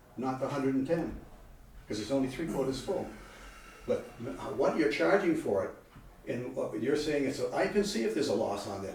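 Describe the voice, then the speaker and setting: A man talks at a fairly quick pace. Audible room echo and noticeable background noise are present. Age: 80s+. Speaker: local business owner speaking at town meeting. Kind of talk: public comment at town meeting. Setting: town selectmen's meeting room. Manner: animated; halting.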